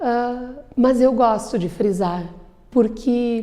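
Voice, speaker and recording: A woman speaks with a dark, mellow tone. Her pitch is fairly high, with ordinary variation. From Bento Gonçalves, Rio Grande do Sul, Brazil. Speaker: lawyer and public speaker. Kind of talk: interview.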